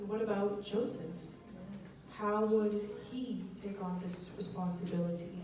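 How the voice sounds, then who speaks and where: With music in the background, a woman at medium pitch talks at a fairly slow pace in a monotone, flat intonation, pausing long and often. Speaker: spoken word poet. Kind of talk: spoken word poetry performance. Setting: live audience, church.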